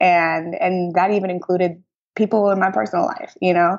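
This is a normal speaking voice with an American accent. The pace is fairly quick, and the pitch variation is ordinary. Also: woman. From US Midwest, St. Louis. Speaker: media entrepreneur. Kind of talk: interview.

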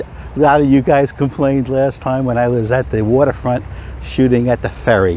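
Over light background noise, a man speaks with ordinary pitch variation in a dry sound with no echo. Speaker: film photography vlogger. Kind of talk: casual vlog chat. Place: open country. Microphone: phone near.

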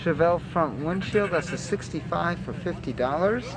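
A man talks at a moderate pace with ordinary pitch variation. The sound is dry with no echo, though background noise is noticeable. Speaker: vlogger touring swap meet. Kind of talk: casual vlog chat. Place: market. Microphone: phone near.

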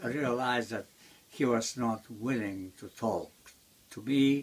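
The voice belongs to a man. Ordinary variation runs through his pitch. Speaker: interviewee. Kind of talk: interview answer. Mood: calm reminiscing. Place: home room.

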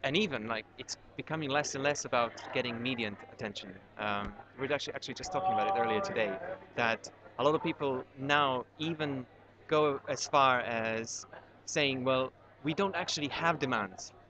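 At a moderate pace, a man with a Serbian accent speaks with lively intonation in a dry sound with no echo over noticeable background noise. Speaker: documentary filmmaker. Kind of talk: interview. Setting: on location at a university screening. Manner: halting, many fillers. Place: hall. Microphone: webcam.

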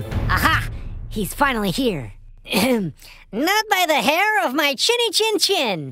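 With music in the background, a put-on character voice speaks at a fairly slow pace. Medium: audio drama. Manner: eager, triumphant.

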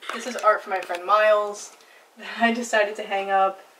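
Light background noise runs under the recording. A woman talks at a moderate pace. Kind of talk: casual vlog chat. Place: home room. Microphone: camera far.

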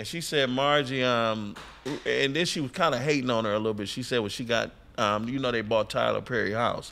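Bright and sharp in tone, the voice moves at a fairly quick pace with ordinary pitch variation. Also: man. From Detroit. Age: 50s. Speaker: comedian; podcast host. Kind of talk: casual chat. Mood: joking, loose, crude humor. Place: studio. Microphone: studio mic.

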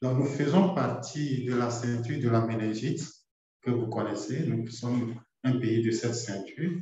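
A man talks at a fairly slow pace in a medium pitch. He has a plain, everyday voice with ordinary pitch variation. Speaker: doctor. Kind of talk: webinar presentation.

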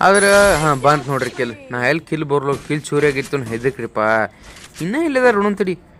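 Over noticeable background noise, a man with a fairly high pitch speaks with lively intonation. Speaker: gaming YouTuber. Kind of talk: live gameplay commentary. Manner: animated; soft-spoken.

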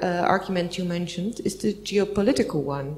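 A woman with a Dutch accent. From Netherlands. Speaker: diplomat; speaker, politician. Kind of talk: panel discussion. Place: meeting room. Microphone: handheld.

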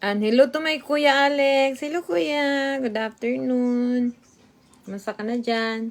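High pitch marks this woman's voice. She talks very slowly. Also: ordinary pitch variation. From Visayas, Philippines. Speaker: vlogger. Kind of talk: casual live stream, reading viewer comments while eating. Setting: live stream at home.

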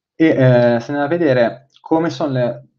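A man's fairly slow speech with fairly even intonation against a quiet background. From Milan, northern Italy. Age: 20s. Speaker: fintech and innovation consultant; guest. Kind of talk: webinar presentation. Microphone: webcam.

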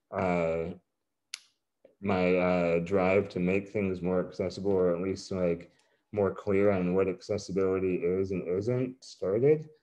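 In an American accent, a man talks with a very deep, low voice. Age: 30s. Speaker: artist, writer and show organizer. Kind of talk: panel discussion. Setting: video call.

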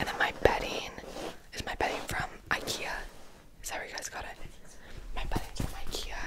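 A woman's voice amid loud background noise. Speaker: room tour host. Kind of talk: casual vlog chat. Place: home room. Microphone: handheld.

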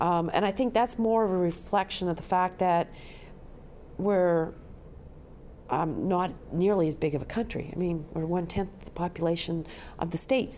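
Speaking at a moderate pace with long, frequent pauses, a woman with a dark, mellow tone and a fairly low pitch uses ordinary pitch variation. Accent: Canadian. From Canada. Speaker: pediatric brain injury physician. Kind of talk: interview answer. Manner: hesitant with frequent ums.

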